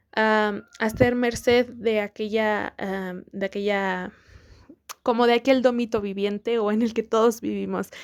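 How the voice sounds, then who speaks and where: With a Mexican accent, a woman talks at a fairly slow pace in a fairly high pitch and a monotone, flat intonation, on a very clean recording with a silent background. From Mexico. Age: 20s. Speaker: podcast host. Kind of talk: casual talk to camera.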